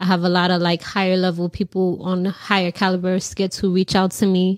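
A woman with an American accent speaks at medium pitch and a moderate pace. The sound is dry and close with no echo, on a very clean recording with a silent background. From New York City. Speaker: content creator.

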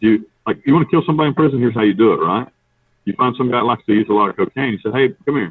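This man talks at a very fast pace with an Appalachian accent. His pitch is medium, with ordinary pitch variation. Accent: Appalachian US Southern. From North Carolina mountains. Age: 40s. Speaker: prison inmate, ex-hitman. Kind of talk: interview.

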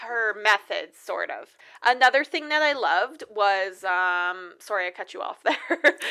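A woman speaks with a fairly high pitch and a bright, sharp, animated tone. Her pitch swings very widely, and her loudness varies a lot. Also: fairly slow pace. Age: 20s. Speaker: horror movie podcast co-host. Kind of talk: casual chat.

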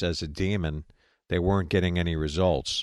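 A man with a slight New York accent talks at a moderate pace. His pitch variation is ordinary. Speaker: radio host. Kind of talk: live call-in show with prayer. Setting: online radio stream.

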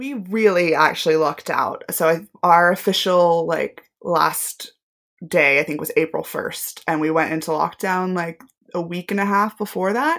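An ordinary speaking voice from a woman, pitch varying in an ordinary way. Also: fairly low pitch for a woman, moderate pace. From US South, Tennessee. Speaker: MBA graduate, fintech professional. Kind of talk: interview, casual chat.

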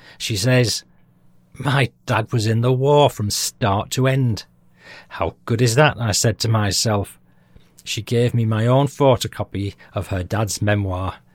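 A man's medium-pitched voice with a British accent, at a fairly slow pace with ordinary pitch variation, in a very clean recording with a silent background and a dry, close sound with no echo. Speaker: history podcast host. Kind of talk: scripted narration.

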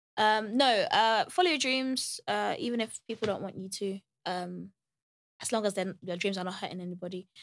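In a London accent, a woman speaks at a moderate pace with a medium pitch. Her ordinary pitch variation sits on a very clean recording with a silent background. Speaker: singer-songwriter. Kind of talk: casual chat.

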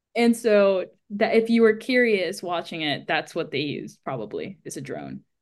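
A woman with an American accent speaks at medium pitch and a moderate pace, with vocal fry and lively intonation. Her loudness swings widely against a quiet background. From US, Miami, Florida. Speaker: screenwriter and filmmaker. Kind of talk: casual chat.

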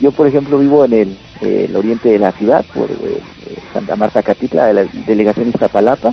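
A man talks at a fairly quick pace and a medium pitch. Music plays in the background. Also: ordinary pitch variation. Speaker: metal band vocalist. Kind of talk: radio interview.

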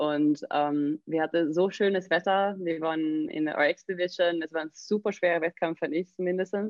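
A fairly low-pitched woman with fairly even intonation at a moderate pace. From southern Sweden, near Malmö. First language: Swedish (speaking German). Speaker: CrossFit coach and gym owner. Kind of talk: interview.

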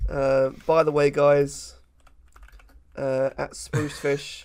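With a British accent, a man is talking. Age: 20s. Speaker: podcast co-host. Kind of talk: casual chat.

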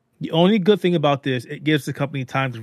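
Talking at a very fast pace, a man shows ordinary pitch variation in a very clean recording with a silent background. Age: 40s. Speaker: video game and technology journalist. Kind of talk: casual chat.

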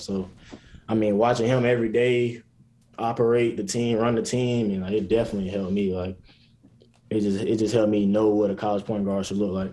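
A man with an American accent speaks fairly quickly in a fairly low voice. His tone is dark and mellow, and his intonation fairly even. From South Carolina, US. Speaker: college basketball player. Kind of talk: interview.

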